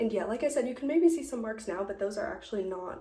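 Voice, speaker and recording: A woman's voice carries audible room echo. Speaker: lifestyle vlogger. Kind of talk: casual chat. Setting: at home, doing makeup on camera. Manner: soft-spoken.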